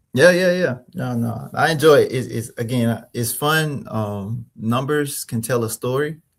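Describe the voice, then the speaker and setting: A man with an American accent at a fairly slow pace and medium pitch, with ordinary pitch variation and hardly any pauses, in a very clean recording with a silent background. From Mississippi, US South. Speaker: small business consultant and finance expert. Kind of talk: interview. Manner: many fillers and repetitions.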